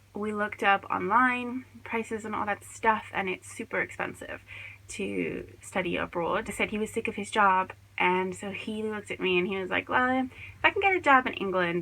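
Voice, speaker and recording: This woman has an American accent and a medium pitch. She talks at a moderate pace in a bright, sharp tone. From California, near San Francisco. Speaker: yarn shop owner and podcast host. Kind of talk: casual podcast monologue.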